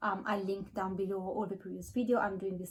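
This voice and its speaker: A woman speaks with a medium pitch in a somewhat breathy voice. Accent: non-native. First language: not English. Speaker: book vlogger. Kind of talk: casual monologue. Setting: home, filming in natural light. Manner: hesitant, with fillers.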